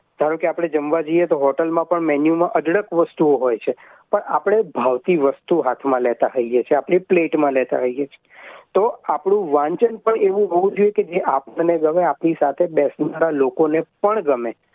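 An unremarkable speaking voice from a man, fairly high in pitch, with ordinary pitch variation. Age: young. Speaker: writer and translator. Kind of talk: interview.

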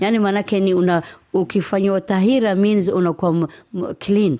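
A woman with a Somali accent speaks at a moderate pace in a dark, mellow tone. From Somalia. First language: Somali (speaking Swahili). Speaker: teacher and community educator. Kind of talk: interview. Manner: halting.

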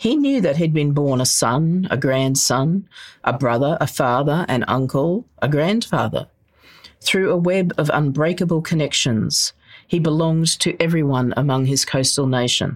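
A woman with an Australian accent speaks in a very deep, low pitch with ordinary pitch variation. Her loudness stays very even throughout. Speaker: novelist. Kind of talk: literary novel reading aloud. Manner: measured, lyrical, slow-paced reading.

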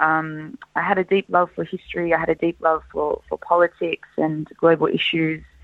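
A woman speaks with an Australian accent. Her pace is moderate, with hardly any pauses. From Australia, Lebanese family. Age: 20s. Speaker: scholarship recipient, graduate. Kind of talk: interview.

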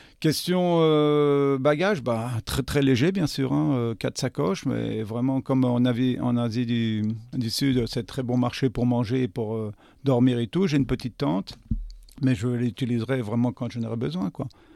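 This man has a dark, mellow tone and a medium pitch with ordinary pitch variation. He speaks at a moderate pace on a very clean recording with a silent background. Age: 60s. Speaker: restaurant owner. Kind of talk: interview. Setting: studio. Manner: halting.

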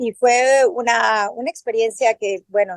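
The woman's voice comes through with a dry, close sound and no echo. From Mexico City. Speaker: journalist and swim teacher. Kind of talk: interview.

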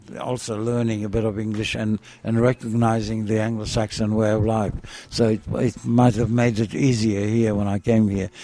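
Fairly low in pitch, the man's voice stays monotone with flat intonation. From Israel. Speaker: cake shop owner and retired architect. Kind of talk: interview, life story. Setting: in his cake shop. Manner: halting, many fillers.

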